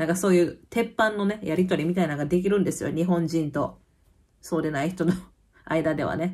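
A woman with a Kansai accent talks in an animated tone at a fairly quick pace, her pitch fairly low, over a quiet background. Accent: Kansai dialect Japanese. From Kansai, Japan; Japan. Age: 30s. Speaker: YouTuber; vlogger living abroad. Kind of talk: casual chat. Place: home room. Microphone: phone near.

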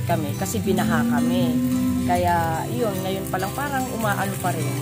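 Over loud background music, a woman speaks at a fairly slow pace in a dry sound with no echo. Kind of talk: interview answer. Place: garden.

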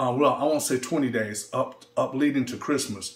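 Speaking with an American accent, a man's voice sits fairly high in pitch. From US Midwest. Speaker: electronic music producer and DJ. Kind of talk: casual video update. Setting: studio. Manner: halting, many fillers. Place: studio.

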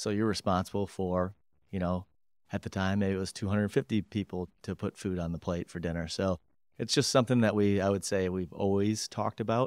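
Over a quiet background with a dry sound and no echo, a man with an Upper Midwest accent talks at a moderate pace, with a fairly low pitch and fairly even intonation. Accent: Upper Midwest American. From Michigan, Grand Rapids; Michigan. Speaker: company president; guest. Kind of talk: interview. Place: office. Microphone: studio mic.

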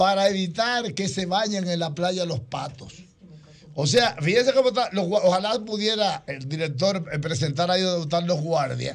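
Speaking with a Dominican accent, a man with a high pitch uses lively intonation at a moderate pace. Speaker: radio host. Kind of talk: live radio panel coverage. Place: studio. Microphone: studio mic.

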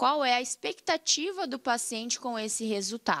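A woman's high voice makes very wide pitch swings. She talks at a fairly slow pace against a quiet background. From Paraná, Brazil. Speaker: dentist; guest. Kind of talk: casual interview. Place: studio. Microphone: studio mic.

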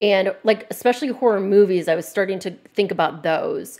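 A normal speaking voice from a woman, medium in pitch, fairly quick, with ordinary pitch variation. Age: 30s. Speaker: horror content creator and game dev. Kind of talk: casual chat.

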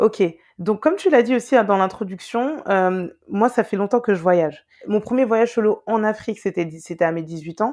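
Against a quiet background, a woman with a fairly high pitch and lively intonation speaks at a moderate pace. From Paris, France (Guadeloupean family). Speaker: travel content creator. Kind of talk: casual interview chat. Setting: remote call. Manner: hesitant, many fillers.

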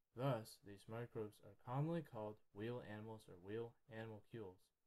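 Soft-spoken and calm, a man talks at a moderate pace in a fairly low pitch with ordinary pitch variation. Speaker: microscopy hobbyist / YouTuber. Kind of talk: educational narration over microscope footage. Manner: unexcited, calm.

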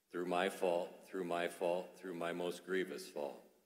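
A man's very deep, low voice over a quiet background. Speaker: priest celebrating Mass. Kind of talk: liturgical prayer. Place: church.

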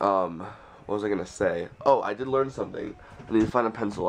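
At a very fast pace, a man speaks in a fairly low voice. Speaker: vlogger. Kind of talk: casual vlog.

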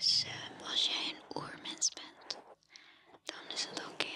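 A soft-spoken woman whispering at a very slow pace over noticeable background noise. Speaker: ASMR creator. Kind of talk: soft whispered ASMR chat. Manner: soft close-mic ASMR whisper. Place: home room. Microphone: studio mic.

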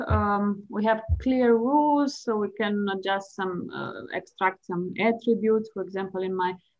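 Speaking at a fairly slow pace, a woman with a Slovene accent shows ordinary pitch variation. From Slovenia. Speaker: chess player and psychology professor. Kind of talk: interview. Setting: video call. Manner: hesitant, many fillers.

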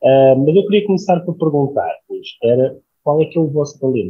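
A man is speaking. The background is quiet. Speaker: panel moderator. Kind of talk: moderator introduction. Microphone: earbuds.

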